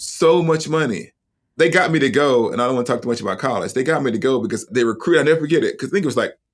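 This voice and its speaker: A man with an American accent talks very fast. His pitch is fairly high with ordinary variation. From US South, Huntsville, Alabama. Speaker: seminary professor and author. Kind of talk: podcast interview.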